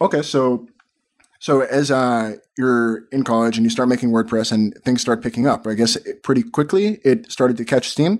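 A man with an ordinary speaking voice talks at a moderate pace and medium pitch. His loudness stays very even, with ordinary pitch variation. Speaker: podcast co-host. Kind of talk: scripted narration.

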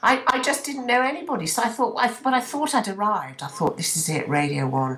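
Amid noticeable background noise, the voice moves at a fairly quick pace with very wide pitch swings. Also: woman. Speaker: radio presenter. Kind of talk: casual chat. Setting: video call.

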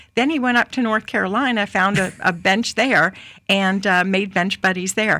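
A woman with an American accent and a bright, sharp tone speaks at very even loudness with ordinary pitch variation, on a very clean recording with a silent background. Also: medium pitch for a woman, moderate pace. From New York City. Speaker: former state senator. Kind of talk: casual chat.

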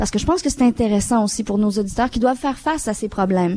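A woman's fairly high voice with a non-native accent, a dark, mellow tone and ordinary pitch variation. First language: not French (speaking French). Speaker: panel moderator, radio station director. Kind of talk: live panel discussion. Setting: live broadcast from a community centre with audience.

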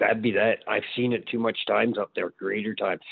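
A man's medium-pitched, monotone voice with flat intonation at a moderate pace. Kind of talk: casual interview conversation.

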